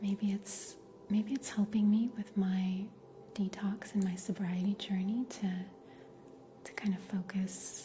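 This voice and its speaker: With noticeable background noise, a woman speaks fairly slowly at a medium pitch in a monotone, flat intonation, leaving long, frequent pauses. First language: Russian. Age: 30s. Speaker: livestreamer. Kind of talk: casual chat. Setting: livestream. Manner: relaxed.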